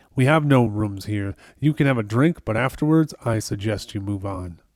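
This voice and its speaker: A man's put-on character voice, gruff and growling, at medium pitch with lively intonation and a moderate pace, in a dry, close sound with no echo and a very clean recording with a silent background. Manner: gruff, growling.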